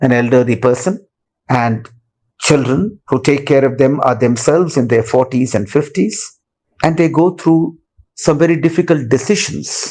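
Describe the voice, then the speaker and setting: Speaking in a plain, everyday voice, a man keeps a medium pitch, ordinary pitch variation and a moderate pace. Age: 60s. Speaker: caregiver and retired executive. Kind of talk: testimony.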